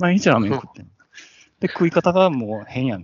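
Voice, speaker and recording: This man speaks with a Kansai accent and very wide pitch swings. His pace is fairly quick. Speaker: podcast co-host. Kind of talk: casual chat.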